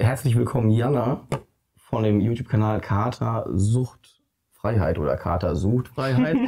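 The man moves at a moderate pace with ordinary shifts in pitch, and the background stays quiet. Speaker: channel host. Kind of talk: interview host chat. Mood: friendly, laughing. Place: studio.

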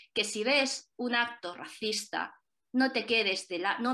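Against a quiet background, a woman's bright, sharp tone shows ordinary pitch variation. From Spain, child of Chinese immigrants. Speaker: journalist and documentary director; journalist panelist. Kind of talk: panel discussion. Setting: online video event. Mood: earnest, engaged. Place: home room. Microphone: video call.

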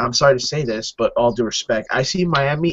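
Somewhat breathy and fairly high-pitched, a man speaks at a moderate pace with ordinary pitch variation over light background noise. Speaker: football fan. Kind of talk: casual chat. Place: home room. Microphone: webcam.

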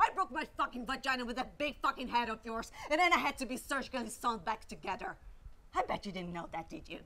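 Shouting in a furious, angry tone, a woman speaks very fast at a high pitch, her voice making very wide pitch swings. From Brazil. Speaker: actress, voice actor. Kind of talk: acting reel of dramatic scenes. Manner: furious, shouting, angry confrontation. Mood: furious, hurt. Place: home room.

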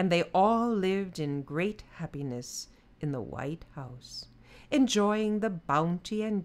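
The passage is read aloud in a natural voice.

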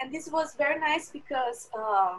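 Speaking at a fairly slow pace, a woman has a high voice. Her intonation is lively, and the background is quiet. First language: Portuguese. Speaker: food security specialist. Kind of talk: interview. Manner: halting. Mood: warm, enthusiastic. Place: home room. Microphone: earbuds.

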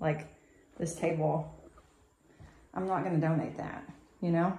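A woman speaks at a moderate pace in a fairly low, somewhat breathy voice. Audible room echo surrounds her. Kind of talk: casual walkthrough commentary. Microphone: phone near.

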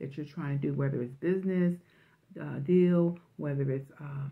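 The woman's voice is somewhat breathy. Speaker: religious vlogger. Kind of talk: prophetic message, sermon-like vlog talk. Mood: fervent, emotional. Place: home room. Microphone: phone near.

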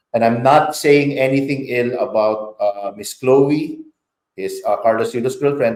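A man speaks in an unremarkable speaking voice. His pace is fairly slow. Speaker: public relations consultant. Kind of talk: interview.

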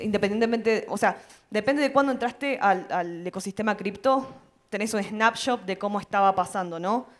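The woman's voice sits at a medium pitch with ordinary pitch variation. The background is quiet. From Argentina, Mendoza; Argentina. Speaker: community leader and panel MC; panelist. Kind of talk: panel discussion. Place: stage. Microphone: handheld.

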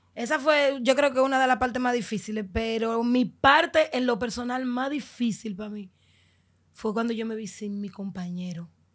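A woman with a fairly high pitch speaks at a moderate pace over a quiet background, her loudness swinging widely while her pitch varies in an ordinary way. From Dominican Republic, Los Mina (Santo Domingo Este); Dominican Republic. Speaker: migrant telling her journey; podcast guest. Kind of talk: testimony. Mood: emotional personal story. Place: studio. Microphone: studio mic.

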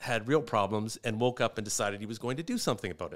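Lively intonation from a man, quiet background behind. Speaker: comedian. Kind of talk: casual chat. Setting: studio. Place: studio. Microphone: studio mic.

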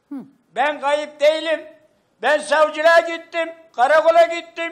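A man speaks with an extremely high pitch at a fairly slow pace. His intonation is monotone and flat over a quiet background. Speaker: missing man's father. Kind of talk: heated debate. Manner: agitated. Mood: upset, defensive. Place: home room. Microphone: handheld.

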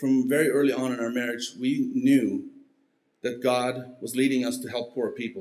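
The speech moves at a moderate pace in a monotone, flat intonation. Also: man. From Mexico, Mennonite community. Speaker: missionary; preacher giving testimony. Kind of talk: testimony. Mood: earnest, personal. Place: church. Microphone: podium.

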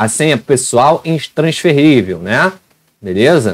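Lively intonation from a man at a fairly slow pace, against a quiet background. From Rio de Janeiro, Brazil. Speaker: education youtuber. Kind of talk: tutorial. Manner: animated.

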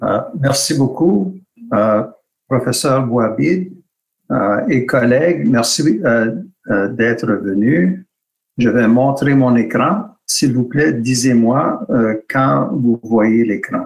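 A man with an English accent at a medium pitch, very slow pace and lively intonation, loudness very even, quiet background. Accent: English-speaking accent in French. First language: English (speaking French). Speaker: hand surgeon, webinar speaker; webinar speaker. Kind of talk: presentation in webinar. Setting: video call webinar. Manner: halting, many hesitations. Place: home room. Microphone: video call.

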